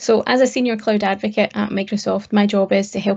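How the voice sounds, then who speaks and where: Speaking at a fairly quick pace with a Scottish accent, a woman of medium pitch keeps her intonation fairly even. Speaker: cloud technology advocate. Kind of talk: interview.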